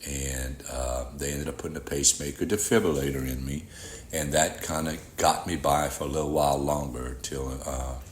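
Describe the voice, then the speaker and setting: A man's very deep, low voice at a moderate pace, fairly even in intonation, with audible room echo and noticeable background noise. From Louisiana (Rayne, Cajun country). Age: 60s. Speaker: heart transplant recipient. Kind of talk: testimony.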